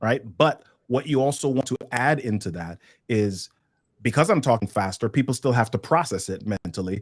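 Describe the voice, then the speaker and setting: With an American accent, a man talks at a moderate pace and medium pitch, his animated tone and lively intonation captured in a dry, close sound with no echo. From New York City, the Bronx. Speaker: communication trainer. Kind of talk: webinar workshop.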